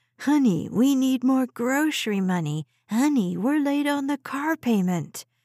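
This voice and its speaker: In a put-on character voice, a woman sounds whiny and high-pitched, with very wide pitch swings, a moderate pace, and a dry, close sound with no echo. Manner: mocking, whining.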